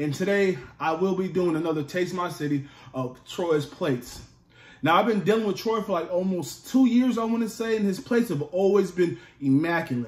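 There is audible room echo. A man talks at a moderate pace. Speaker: food vlogger. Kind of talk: casual vlog chat. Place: home room. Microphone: phone near.

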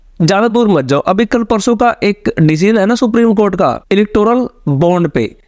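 Speaking at a moderate pace, a man uses a high pitch with ordinary pitch variation. His loudness stays very even, and the sound is dry and close with no echo. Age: 30s. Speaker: film reviewer. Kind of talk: movie review monologue.

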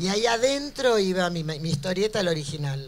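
A woman speaks in a Buenos Aires accent against light background noise. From Buenos Aires, Argentina. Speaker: cartoonist. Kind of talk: live interview answer before an audience. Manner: brash, outspoken, humorous. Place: hall. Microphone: handheld.

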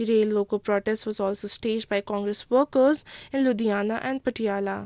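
This woman has an unremarkable speaking voice, medium in pitch with ordinary pitch variation, at a moderate pace. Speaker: news reporter. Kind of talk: news reading.

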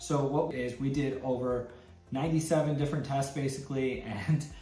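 A man's voice with fairly even intonation, audible room echo, and faint music in the background. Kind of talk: tutorial intro. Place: office.

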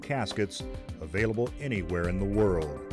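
A man speaks fairly slowly, with music in the background. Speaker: voice actor. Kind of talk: commercial read.

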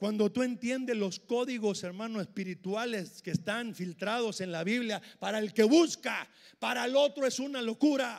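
A man with a high voice speaks in an animated tone at a moderate pace, with ordinary pitch variation, hardly any pauses and a quiet background. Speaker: preacher. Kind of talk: sermon. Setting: church with congregation. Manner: animated, emphatic; repetitive, punchy, with frequent 'hermano'. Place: church. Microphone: handheld.

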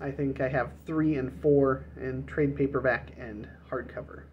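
Light noise sits in the background as a man talks. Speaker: book collector vlogger. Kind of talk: casual vlog chat. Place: home room. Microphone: phone near.

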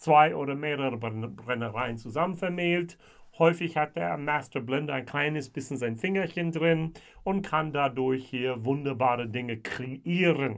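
At a fairly slow pace, a man talks with ordinary pitch variation against a quiet background. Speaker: whisky reviewer. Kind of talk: casual tasting review. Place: home room.

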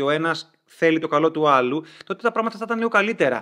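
The speech comes at a very fast pace with lively intonation. The background is quiet. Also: man. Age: 30s. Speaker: video creator. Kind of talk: personal vlog monologue. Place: home room.

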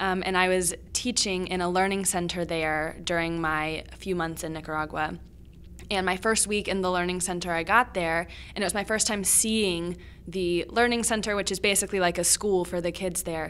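A woman with an American accent uses a plain, everyday voice at medium pitch, with fairly even intonation and a moderate pace. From Virginia, US. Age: 20s. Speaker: student podcast co-host. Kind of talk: educational podcast discussion.

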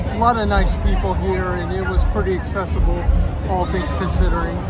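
Fairly quick speech over clear background music, the sound dry with no echo. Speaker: vlogger. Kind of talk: casual vlog chat. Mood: cheerful, relaxed. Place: street. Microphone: phone near.

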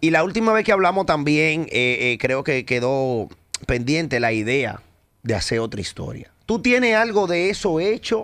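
A man speaks at a fairly slow pace in a fairly high pitch, with very wide pitch swings. The background is quiet. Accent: Dominican. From Dominican Republic. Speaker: radio host. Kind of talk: interview. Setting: studio. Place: studio. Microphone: studio mic.

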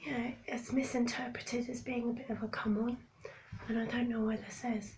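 A woman speaks at a moderate pace with a fairly high, breathy voice. Room echo is audible in the recording. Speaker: vlogger. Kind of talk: casual vlog monologue.

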